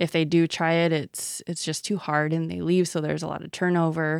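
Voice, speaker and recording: A woman in an American accent, fairly low-pitched and monotone with flat intonation, at a moderate pace, in a dry, close sound with no echo on a very clean recording with a silent background. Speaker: health organization executive. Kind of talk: interview. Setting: studio, in person.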